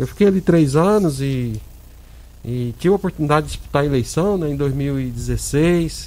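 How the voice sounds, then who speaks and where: A man speaks at a moderate pace in a fairly high voice. His tone is dark and mellow, with ordinary pitch variation. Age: 50s. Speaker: hospital administrator, former city councillor. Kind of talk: radio interview. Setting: radio studio. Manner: halting, many fillers.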